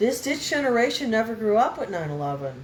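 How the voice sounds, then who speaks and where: Noticeable background noise and audible room echo surround the voice. A woman speaks at a moderate pace. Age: 70s. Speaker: spiritual vlogger. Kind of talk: casual chat. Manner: rambling, jumping between topics.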